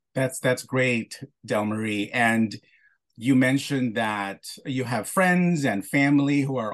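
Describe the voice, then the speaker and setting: Here a man speaks at a very slow pace with a medium pitch. His pitch variation is ordinary and the background is quiet. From Philippines. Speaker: podcast host. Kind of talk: interview. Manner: halting.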